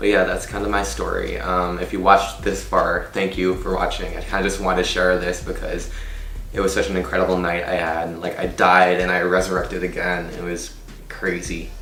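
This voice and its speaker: A man speaks at a fairly quick pace. Noticeable background noise and audible room echo surround his voice. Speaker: vlogger. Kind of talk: story time vlog; casual chat. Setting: in a car. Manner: animated.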